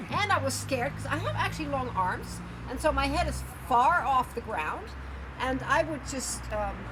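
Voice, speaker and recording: Amid noticeable background noise and audible room echo, a woman speaks at a moderate pace. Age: 60s. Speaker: yoga and handstand practitioner, travel vlogger. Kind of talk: casual interview. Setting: cafe. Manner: halting, many fillers.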